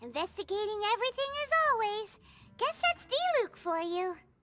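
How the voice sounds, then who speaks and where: A squeaky, put-on character voice at extremely high pitch and moderate pace, with faint music in the background. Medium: video game.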